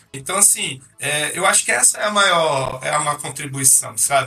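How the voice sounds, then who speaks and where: Noticeable background noise surrounds a man whose fairly high pitch moves with lively intonation as he talks at a moderate pace. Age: 30s. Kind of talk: casual interview.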